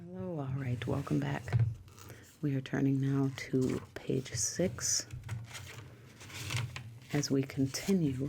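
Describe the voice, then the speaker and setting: A woman's very deep, low voice at a very slow pace, with long, frequent pauses, ordinary pitch variation, and noticeable background noise. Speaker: ASMR content creator. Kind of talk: ASMR reading of a dictionary. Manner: soft, calm, regular to slow pace.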